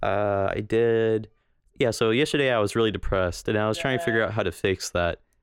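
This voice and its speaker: Dry and close with no echo, a man's fairly low voice moves at a very fast pace with ordinary pitch variation. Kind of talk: casual chat. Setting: video call over Skype.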